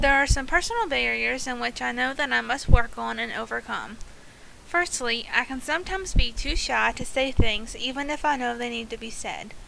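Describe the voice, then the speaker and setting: A woman with an American accent, her loudness swinging widely, over noticeable background noise. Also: moderate pace. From US South, West Virginia. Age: 20s. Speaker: counseling student. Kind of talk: class presentation, scripted. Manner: reading aloud, steady.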